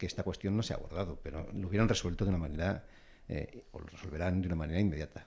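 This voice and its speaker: The voice is dark and mellow, somewhat breathy, moving very fast with fairly even intonation. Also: man, very deep, low pitch for a man. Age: 50s. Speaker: businessman panelist. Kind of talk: panel debate. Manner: halting.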